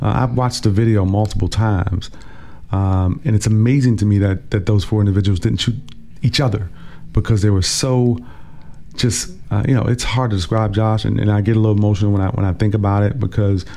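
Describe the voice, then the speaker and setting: A man with a plain, everyday voice, pitched fairly low, talks at a fairly quick pace. His intonation is fairly even and his loudness very even. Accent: American. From Washington, DC. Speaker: city councilmember. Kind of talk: casual interview. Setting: radio studio.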